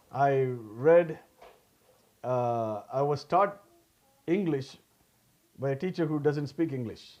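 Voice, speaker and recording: Speaking very slowly with long, frequent pauses, a man with a Tamil accent uses a fairly high pitch and ordinary pitch variation. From South India, Tamil-speaking. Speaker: pastor. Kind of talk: sermon. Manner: halting, with restarts.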